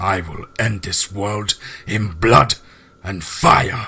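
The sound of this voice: Using a put-on character voice, a man speaks slowly at a fairly low pitch with a husky, rough edge, vocal fry, a bright, sharp tone and lively intonation.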